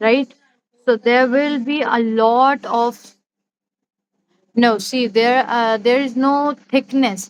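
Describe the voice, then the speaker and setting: Speech comes at a very slow pace with fairly even intonation and long, frequent pauses. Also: woman, high pitch for a woman. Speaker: calligraphy teacher. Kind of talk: live online class. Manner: slow, deliberate.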